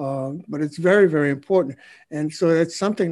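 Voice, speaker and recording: Against a quiet background, a man talks in a normal speaking voice. His pitch is fairly high, with ordinary pitch variation. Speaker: podcast host and marketing CEO. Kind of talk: casual interview.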